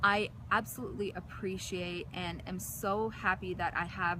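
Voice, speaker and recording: Speaking fairly slowly with fairly even intonation, a woman with an American accent and a medium pitch is heard over noticeable background noise. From United States. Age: 20s. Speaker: interviewee sharing personal experience. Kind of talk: interview. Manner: hesitant, many fillers.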